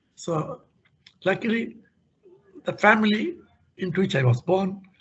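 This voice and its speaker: This man speaks with a high pitch. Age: 80s+. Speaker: open access advocate and scientometrics researcher. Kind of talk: speech at an event. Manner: hesitant, with many fillers.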